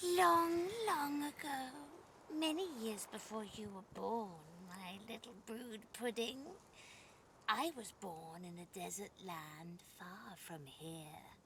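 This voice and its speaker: In a put-on character voice, a female-sounding speaker talks at a very slow pace with fairly high pitch and very wide pitch swings, over clear background noise. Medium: video game. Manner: sweetly condescending, purring pet names.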